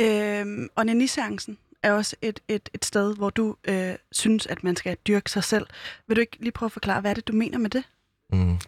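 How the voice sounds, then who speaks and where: Recorded very cleanly against a silent background, with a dry, close sound and no echo, a woman speaks at a fairly high pitch and a moderate pace in a monotone, flat intonation. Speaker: radio host. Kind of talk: casual interview. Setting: studio.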